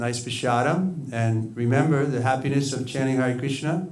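A man with a New York accent and ordinary pitch variation. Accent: New York American. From US Northeast, Long Island, New York. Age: 60s. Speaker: Hare Krishna monk; religious teacher. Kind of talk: sermon. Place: hall. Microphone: studio mic.

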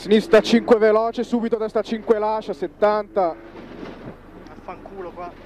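Very slow delivery with fairly even intonation, a dry sound with no echo and light background noise. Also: man, high pitch for a man. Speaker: rally co-driver. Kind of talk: rally co-driver pace notes read aloud during a stage. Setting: rally car during a stage, cameracar recording. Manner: flat, drilled delivery that turns sharper and repeats warnings when danger nears. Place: car.

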